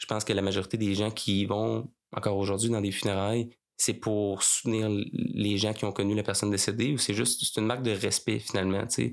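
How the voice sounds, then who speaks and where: A man with a Quebec accent, fairly low-pitched, his intonation fairly even, on a very clean recording against a silent background. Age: 30s. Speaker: funeral director. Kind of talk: interview. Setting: mobile studio by the river.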